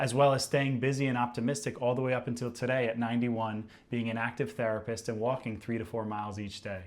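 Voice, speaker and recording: Monotone and flat in intonation, a man speaks at medium pitch and a fairly quick pace. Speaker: interviewer, podcast host. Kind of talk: podcast intro.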